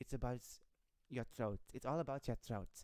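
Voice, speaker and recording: The voice has a dark, mellow tone and ordinary pitch variation. Its pace is moderate. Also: woman. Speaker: livestreamer. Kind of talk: casual livestream chat. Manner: stammering, halting.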